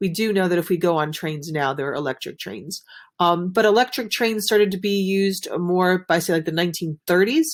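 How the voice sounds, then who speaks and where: On a very clean recording with a silent background, a woman mumbles at a fairly quick pace, her medium pitch showing ordinary variation. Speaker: teacher. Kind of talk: recorded video lesson. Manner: fast; mumbling.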